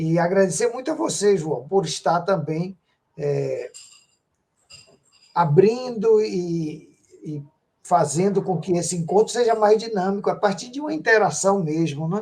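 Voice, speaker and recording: A man's high-pitched voice at a fairly slow pace, with long, frequent pauses and ordinary pitch variation. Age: 60s. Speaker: composer and retired music professor. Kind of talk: online interview. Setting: video call.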